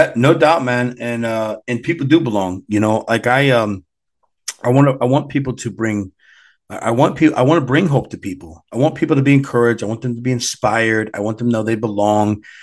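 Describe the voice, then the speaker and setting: A man with an American accent speaks at a fairly quick pace in a medium pitch, with ordinary pitch variation, an unremarkable speaking voice, and a quiet background. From US Midwest. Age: 40s. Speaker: martial arts competition organizer. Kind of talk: casual chat.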